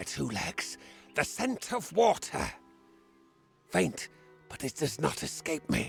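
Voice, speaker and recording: A put-on character voice at a fairly slow pace, with long, frequent pauses and faint music in the background. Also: man, fairly high pitch for a man. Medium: video game. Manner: formal, archaic phrasing.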